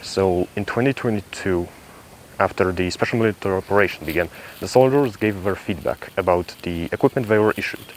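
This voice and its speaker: Moderate pace with long, frequent pauses and ordinary pitch variation, over noticeable background noise. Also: man. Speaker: military gear reviewer. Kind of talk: tutorial. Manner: halting.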